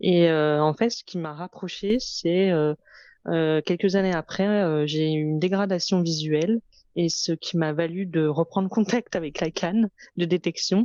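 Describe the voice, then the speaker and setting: A woman's fairly low, dark, mellow voice at a fairly slow pace, with fairly even intonation and a dry, close sound with no echo. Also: quiet background. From France, Lyon. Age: 30s. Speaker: fashion entrepreneur. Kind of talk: interview testimony. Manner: hesitant, many fillers.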